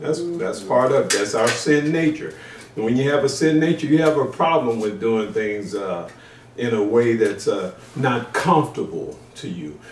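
A man talks in a space with audible room echo. Light background noise sits behind him. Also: moderate pace. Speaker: pastor. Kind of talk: sermon. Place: home room.

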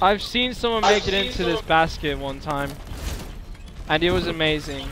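Speaking at a moderate pace with ordinary pitch variation, a man with a high pitch comes across in a dry sound with no echo and noticeable background noise. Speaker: gaming YouTuber recording multiplayer session. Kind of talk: casual gaming chat. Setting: online game voice chat.

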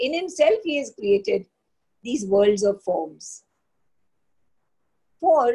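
A woman in a dark, mellow tone, very wide pitch swings, fairly slow pace, quiet background. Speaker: teacher leading text study. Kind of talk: lecture. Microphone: webcam.

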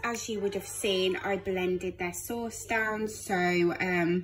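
Music can be heard in the background. A woman talks at a very slow pace. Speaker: parent vlogger. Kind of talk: casual vlog chat. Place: kitchen. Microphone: phone near.

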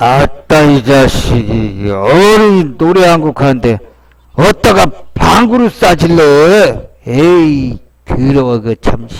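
A put-on character voice at a fairly slow pace. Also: man, fairly high pitch for a man. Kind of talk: comedic voice-over dub. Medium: dub.

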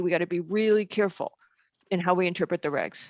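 A woman's fairly quick speech with fairly even intonation and a dry, close sound with no echo. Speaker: planning commission member. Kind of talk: public meeting discussion. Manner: fast.

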